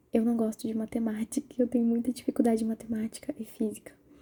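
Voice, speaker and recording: Soft-spoken and somewhat breathy, a woman talks in a fairly high voice with a dark, mellow tone. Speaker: university student. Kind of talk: ASMR soft-spoken personal talk to camera.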